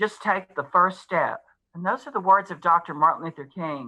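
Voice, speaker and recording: A woman speaks at a moderate pace in a fairly low pitch. Her tone is bright and sharp, with ordinary pitch variation. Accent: American. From US South (Memphis, Tennessee). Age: 60s. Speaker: school superintendent. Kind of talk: board meeting remarks.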